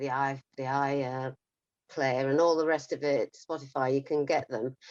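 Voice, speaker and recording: A woman speaks in an English accent at a moderate pace, her pitch very deep and low and her intonation flat and monotone. The sound is dry and close with no echo, over a quiet background. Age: 70s. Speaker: singer. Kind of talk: casual interview. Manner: halting.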